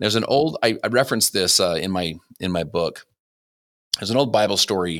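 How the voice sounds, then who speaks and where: In a very clean recording with a silent background, a man with an American accent and fairly low pitch talks at a very fast pace with lively intonation, broken by long, frequent pauses. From Utah. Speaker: entrepreneur and author. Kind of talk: interview conversation. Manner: animated.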